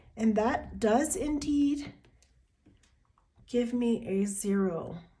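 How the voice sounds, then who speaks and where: Audible room echo surrounds a woman with a fairly high pitch. She talks at a very slow pace with lively intonation. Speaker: personal finance youtuber. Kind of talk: budget tutorial.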